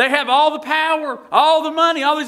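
A man with an American accent projects a raised voice with a bright, sharp tone at a moderate pace against a quiet background. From Tennessee, United States. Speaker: Baptist pastor. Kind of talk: sermon. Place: church.

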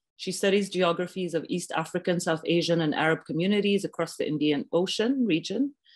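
A woman's fairly low voice with ordinary pitch variation, at a fairly quick pace, over a quiet background. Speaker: artistic director of an arts center. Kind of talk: event introduction. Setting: video call. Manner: halting. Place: home room. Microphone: webcam.

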